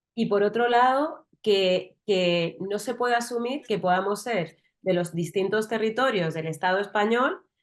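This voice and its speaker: With a strong Madrid accent, a woman talks at a fairly slow pace and medium pitch, with ordinary pitch variation and hardly any pauses. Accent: strong south Madrid. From southern Madrid, Spain. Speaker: interviewer, journalist. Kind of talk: interview.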